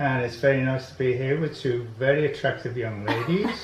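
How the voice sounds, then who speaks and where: Amid noticeable background noise and audible room echo, a man speaks at a fairly high pitch. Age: 80s+. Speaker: inventor. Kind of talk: interview. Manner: halting.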